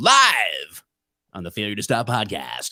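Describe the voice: In a put-on character voice, a man speaks raspily at a fairly slow pace with a fairly low pitch.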